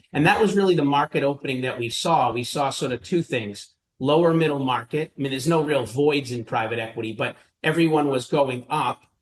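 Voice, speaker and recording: A man speaks at a fairly quick pace with a Boston accent. His pitch is fairly high, with ordinary pitch variation. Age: 50s. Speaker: private equity investor. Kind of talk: interview.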